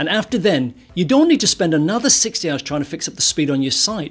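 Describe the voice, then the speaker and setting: A man's fairly quick speech runs while music plays behind him. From northern England. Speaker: web performance consultant and course instructor. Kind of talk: course introduction, direct address.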